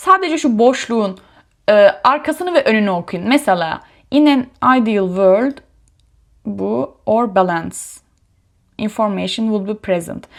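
In a very clean recording with a silent background, a woman with a fairly high voice speaks at a fairly slow pace with lively intonation and long, frequent pauses. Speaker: YouTuber sharing exam prep tips. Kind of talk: tutorial. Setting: home study room.

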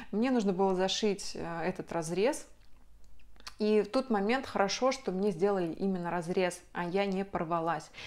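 A woman speaks at a medium pitch. Her pace is moderate, with ordinary pitch variation. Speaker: video blogger. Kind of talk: personal story to camera. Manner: chatty. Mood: emotional personal birth story. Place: home room.

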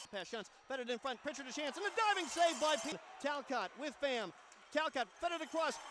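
Extremely high-pitched for a man, this speaker sounds excited and animated, with lively intonation. There is noticeable background noise. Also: fairly quick pace. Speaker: hockey play-by-play announcer. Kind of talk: hockey play-by-play commentary. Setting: rink broadcast over game highlights. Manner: fast, rapid-fire, animated call of the action; excited on goals.

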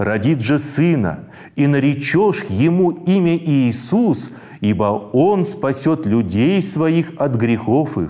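A man at a fairly high pitch with a dark, mellow tone, very wide pitch swings, very even loudness and a very slow pace. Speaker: bible reading presenter. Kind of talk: scripted narration.

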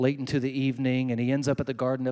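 The man moves at a fairly quick pace, and the background is quiet. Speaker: preacher. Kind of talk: sermon. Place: stage. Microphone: handheld.

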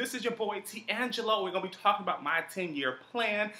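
A raised, projected voice speaks at a moderate pace. Room echo can be heard. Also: man. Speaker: vlogger. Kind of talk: casual vlog chat. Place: home room.

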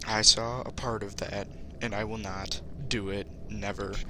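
A man's fairly low voice with ordinary pitch variation, dry sound with no echo, and noticeable background noise. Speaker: gaming vlogger. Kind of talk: casual vlog chat.

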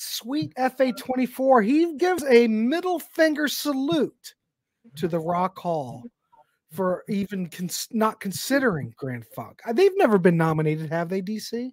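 Recorded dry with no echo and a quiet background, a man talks at a fairly slow pace with very wide pitch swings. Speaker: podcast host. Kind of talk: casual live-stream chat. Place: home room. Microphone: studio mic.

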